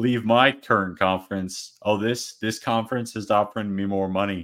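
In a very clean recording with a silent background, a man with a plain, everyday voice speaks at a fairly low pitch with fairly even intonation and hardly any pauses. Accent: American. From Arizona. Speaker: sports podcast co-host. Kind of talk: casual chat; rant.

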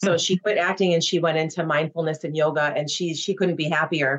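A woman with an American accent, fairly low in pitch, at a fairly quick pace with monotone, flat intonation. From Chicago, US Midwest. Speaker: actress. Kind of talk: casual interview chat.

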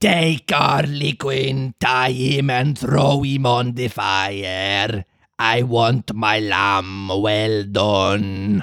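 A man puts on a raspy character voice at a medium pitch, going at a very slow pace with hardly any pauses. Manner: yelling, commanding.

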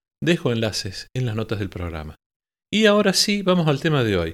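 Recorded very cleanly against a silent background, a man of medium pitch speaks at a fairly quick pace. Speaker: choral conductor and podcast host. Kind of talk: podcast monologue on choral directing.

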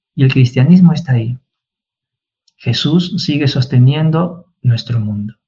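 At a fairly slow pace, a man with a dark, mellow tone and a somewhat breathy voice speaks with ordinary pitch variation. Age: 40s. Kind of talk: casual chat.

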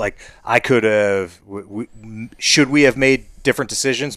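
This man has a medium-pitched voice and an American accent. His pitch variation is ordinary. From US Midwest (Ohio). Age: 40s. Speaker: hunter. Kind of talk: casual chat. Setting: in a shop. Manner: halting, many fillers.

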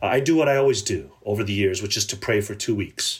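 A man speaks at a fairly quick pace with an American accent and a somewhat breathy voice. The recording is very clean, with a silent background. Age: 50s. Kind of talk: interview conversation.

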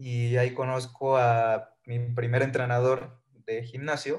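A somewhat breathy man's voice at medium pitch, with fairly even intonation. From Mexico, Villahermosa, Tabasco. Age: 20s. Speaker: fitness coach. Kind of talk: podcast interview.

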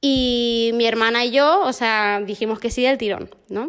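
A woman speaks very slowly in a fairly high voice. Her pitch variation is ordinary. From Argentina, raised in Canary Islands, Spain. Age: 20s. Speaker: missionary. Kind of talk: casual chat. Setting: at home.

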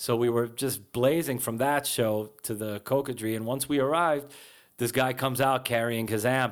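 A man's plain, everyday voice at medium pitch, moderate pace and fairly even intonation, on a very clean recording with a silent background. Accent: American. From Israel, then New Jersey and Brooklyn. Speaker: punk musician. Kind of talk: interview. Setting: recording studio.

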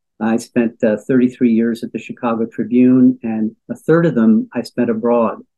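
Fairly even intonation marks a man's plain, everyday voice, pitched at a medium level. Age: 60s. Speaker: journalism lecturer and former foreign correspondent. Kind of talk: interview discussion.

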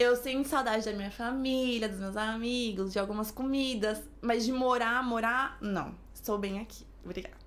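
A woman talks at a moderate pace, and the room's echo is audible. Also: fairly high pitch for a woman, fairly even intonation, hardly any pauses. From São Paulo. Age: 20s. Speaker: influencer and flight attendant. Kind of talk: casual chat.

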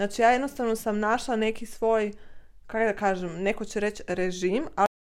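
On a very clean recording with a silent background, an ordinary speaking voice proceeds at a moderate pace. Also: woman. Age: 20s. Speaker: guest, host's sister. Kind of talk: casual chat interview.

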